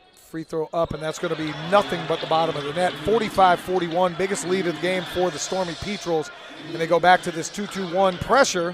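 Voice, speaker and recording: A man talks at a fairly quick pace with a high pitch. Noticeable background noise is present. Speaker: play-by-play commentator. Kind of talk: live commentary. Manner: animated.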